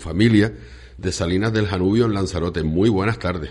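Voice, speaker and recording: Lively intonation from a man's very deep, low voice. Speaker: radio host. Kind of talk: casual chat. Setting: studio.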